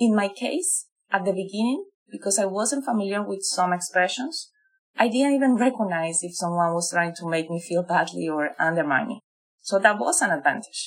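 Lively intonation marks this woman's speech in a Spanish accent. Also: medium pitch for a woman, moderate pace. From Colombia. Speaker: digital marketing professional. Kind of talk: interview.

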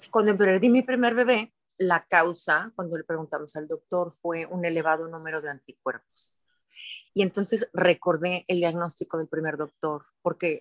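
A woman speaks in a plain, everyday voice, fairly low in pitch, with ordinary pitch variation. Her moderate pace comes through a dry, close sound with no echo. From Mexico, Guadalajara (Jalisco). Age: 50s. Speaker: wellness center founder. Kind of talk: interview.

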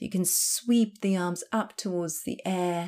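A woman talks at a fairly slow pace with a medium pitch. It is a plain, everyday voice. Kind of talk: guided yoga class, verbal cueing for blind practitioners. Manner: calm, slow, clear step-by-step instruction timed to breath; reassuring and encouraging.

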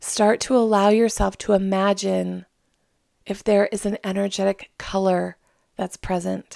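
In a very clean recording with a silent background and a dry, close sound with no echo, a woman speaks in a calm tone at a fairly slow pace. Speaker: psychic medium, podcast host. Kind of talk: guided meditation. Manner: slow, calm.

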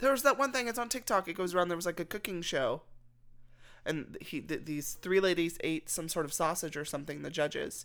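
This woman has an ordinary speaking voice, fairly low in pitch, delivered at a fairly quick pace with lively intonation and big swings in loudness. The recording is very clean, with a silent background. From Texas. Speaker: podcast co-host. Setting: living room at home.

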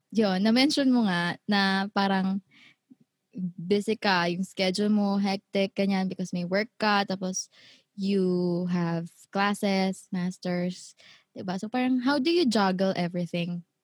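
A woman's somewhat breathy, medium-pitched voice at a fairly slow pace, fairly even in intonation, in a dry, close sound with no echo. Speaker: podcast host and singer. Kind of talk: casual chat.

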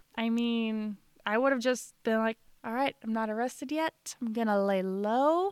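In an American accent, a normal speaking voice with ordinary pitch variation comes through with a dry, close sound and no echo. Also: woman. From Illinois. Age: 30s. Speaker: podcast co-host. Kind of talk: casual chat.

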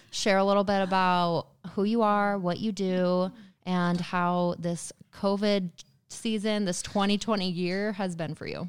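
An ordinary speaking voice at a fairly slow pace. The recording is very clean, with a silent background. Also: woman, medium pitch for a woman. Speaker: podcast co-host. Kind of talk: casual chat. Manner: upbeat, chatty.

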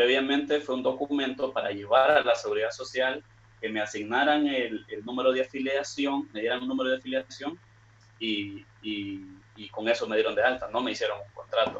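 With a normal speaking voice, a man at a medium pitch keeps a moderate pace and fairly even intonation. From Nicaragua. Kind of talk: question on live stream.

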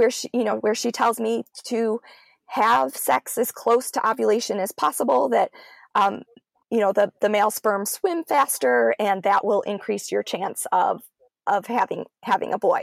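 The sound is close and dry, without any echo. A woman speaks at a moderate pace. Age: 30s. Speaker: communication studies professor and author. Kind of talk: interview. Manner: halting, many fillers and repetitions.

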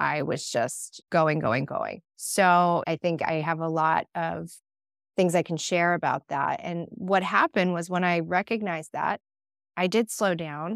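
A woman speaks fairly slowly with ordinary pitch variation in a dry, close sound with no echo. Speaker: interior designer and feng shui practitioner. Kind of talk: casual interview conversation.

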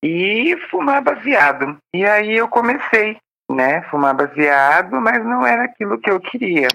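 A woman's medium-pitched voice at a fairly slow pace, with very even loudness and very wide pitch swings. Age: 30s. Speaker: volunteer, recovering addict. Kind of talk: interview testimony.

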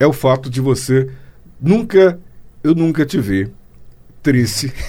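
Speaking in a medium pitch, a man has a dark, mellow tone. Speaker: radio host. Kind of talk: casual interview.

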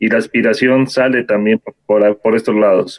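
A man talks at a fairly slow pace. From Ecuador, Ibarra. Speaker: muralist and graduate student. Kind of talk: seminar discussion. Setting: video call.

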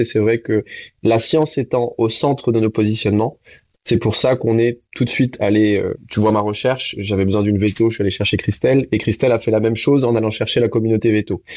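Here is an unremarkable speaking voice from a man with a medium pitch. He talks at a fairly quick pace with fairly even intonation. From Réunion. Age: 30s. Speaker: entrepreneur. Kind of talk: interview.

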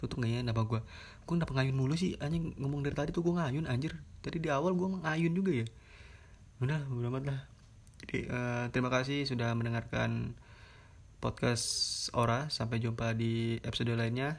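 A man's fairly quick speech comes through somewhat breathy. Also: medium pitch for a man, ordinary pitch variation, very even loudness. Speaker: podcast host. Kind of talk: casual solo monologue. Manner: rambling, fast, filler-heavy.

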